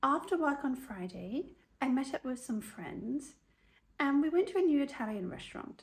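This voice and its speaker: A woman speaks at a high pitch with lively intonation in a southern English accent. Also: moderate pace. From Oxford, England. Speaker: English teacher. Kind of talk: dialogue practice read.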